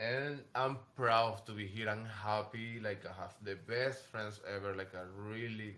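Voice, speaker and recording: A bright, sharp tone in a Venezuelan accent, with audible room echo. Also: man. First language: Spanish. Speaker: fashion model. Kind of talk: casual chat. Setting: in New York. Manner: halting.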